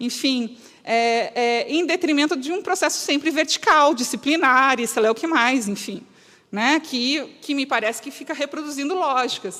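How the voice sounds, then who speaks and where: A woman speaks in a raised, projected voice with a high pitch and a bright, sharp tone. Her pace is moderate and her pitch variation ordinary. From southern Brazil (Rio Grande do Sul). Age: 40s. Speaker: lecturer on solidarity economy. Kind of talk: lecture. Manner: animated.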